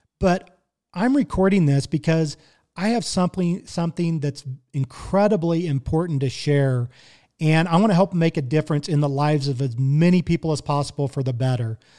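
A man talks at a fairly quick pace and fairly high pitch, with a dark, mellow tone. The sound is dry and close with no echo, a very clean recording with a silent background. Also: ordinary pitch variation. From Kansas City, Missouri. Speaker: podcast host and barbecue cook. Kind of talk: casual solo monologue. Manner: conversational, friendly.

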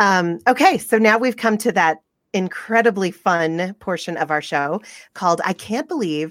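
A woman with an American accent speaks in an unremarkable speaking voice at a moderate pace, with medium pitch and lively intonation. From US South. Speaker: podcast host. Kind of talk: casual chat. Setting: remote recording from home.

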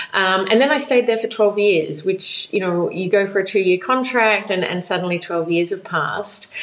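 A woman at a medium pitch, hardly any pauses, and noticeable background noise. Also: ordinary pitch variation, moderate pace. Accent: Australian. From Australia. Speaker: blockchain policy expert. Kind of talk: interview.

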